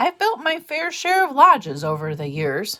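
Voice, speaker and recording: At a moderate pace, a female-sounding voice does a put-on character voice that is high-pitched and gruff. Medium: read story. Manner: grumbling, gruff.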